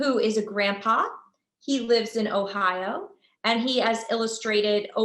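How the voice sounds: Heard here is a natural reading voice with fairly even intonation. The background is quiet.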